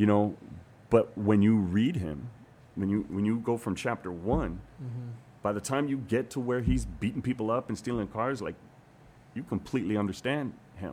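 With long, frequent pauses, a man talks in a fairly low voice with a dark, mellow tone and ordinary pitch variation. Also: moderate pace. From Hawaii. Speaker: actor and author. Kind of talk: casual interview chat.

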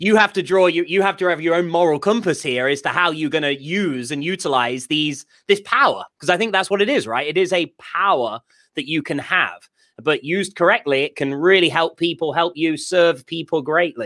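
With a British accent, a man speaks at a high pitch and a moderate pace in a bright, sharp tone with ordinary pitch variation, in a very clean recording with a silent background. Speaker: podcast co-host. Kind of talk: casual chat.

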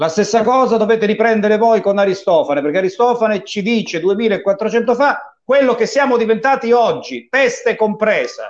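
A man's high-pitched voice at a moderate pace, with hardly any pauses. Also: ordinary pitch variation. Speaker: talk show host. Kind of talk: casual interview talk show. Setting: video call.

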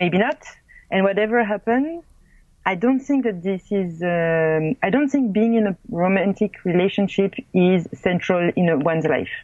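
A woman with a French accent speaks at a medium pitch. Her intonation is lively and her loudness very even. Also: moderate pace. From France, small town. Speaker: filmmaker and blogger. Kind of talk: interview. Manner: halting.

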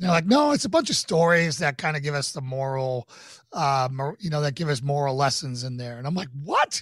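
In an American accent, a man with an unremarkable speaking voice talks at a fairly quick pace and fairly high pitch, with ordinary pitch variation, on a very clean recording with a silent background. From US Northeast, Boston, Massachusetts. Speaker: podcast host and pastor. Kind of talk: casual chat.

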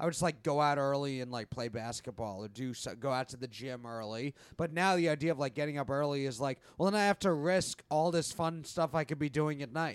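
In a plain, everyday voice, a man with a fairly high pitch and ordinary pitch variation talks at a fairly quick pace with hardly any pauses. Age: 20s. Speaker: comedian and podcast host. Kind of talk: casual chat.

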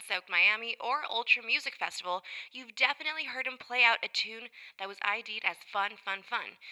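A woman with a fairly high pitch speaks at a moderate pace in an upbeat tone, with ordinary pitch variation, big swings in loudness, and a dry, close sound with no echo. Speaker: music radio show host. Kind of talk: music show presenting.

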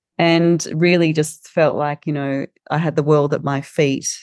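A woman with an Australian accent speaks in a very deep, low voice at a moderate pace, her intonation flat and monotone, and the sound is dry and close with no echo. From regional Victoria, Australia. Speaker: social enterprise founder and CEO. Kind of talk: interview conversation. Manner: hesitant, many filler words.

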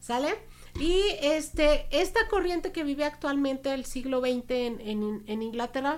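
A woman speaks at a high pitch. Her voice makes very wide pitch swings. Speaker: podcast co-host. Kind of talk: casual chat.

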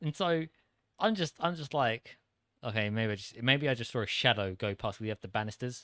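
With a British accent and lively intonation, the speaker goes at a moderate pace on a very clean recording with a silent background. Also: man, medium pitch for a man. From UK. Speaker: co-host. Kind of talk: casual chat.

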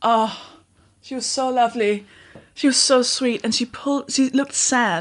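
A high-pitched woman with a Danish accent talks at a moderate pace with ordinary pitch variation over a quiet background. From Denmark. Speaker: podcast host and comedian. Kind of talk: podcast intro monologue; casual chat. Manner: halting.

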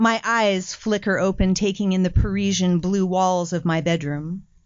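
A woman at medium pitch speaks at a fairly slow pace. Hers is a plain, everyday voice. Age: 50s. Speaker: playwright and performer. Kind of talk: reading aloud personal writing.

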